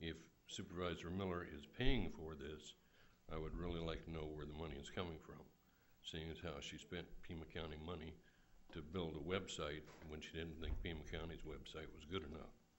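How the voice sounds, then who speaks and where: Amid audible room echo, a man with a very deep, low pitch talks at a fairly quick pace with fairly even intonation. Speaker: public commenter at county meeting. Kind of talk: public comment speech. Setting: public meeting hall. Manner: soft-spoken.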